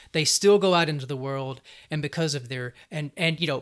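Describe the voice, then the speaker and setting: The man speaks at a moderate pace with a fairly high pitch and ordinary pitch variation. The recording is very clean, with a silent background. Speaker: writing center specialist. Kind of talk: interview conversation. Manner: hesitant, filler-heavy.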